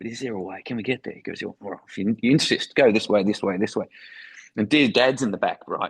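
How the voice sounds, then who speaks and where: A man with an Australian accent talks at a very fast pace. His pitch varies in an ordinary way. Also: medium pitch for a man, big swings in loudness, dry, close sound with no echo. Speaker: foreign correspondent. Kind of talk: interview storytelling.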